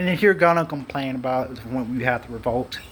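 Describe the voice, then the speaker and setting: A man talks with lively intonation while noticeable background noise carries on behind him. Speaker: gaming youtuber. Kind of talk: casual rant. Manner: mumbling.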